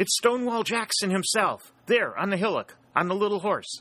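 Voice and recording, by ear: Shouting in a put-on character voice, a man pitched high swings widely in pitch at a moderate pace with a bright, sharp tone.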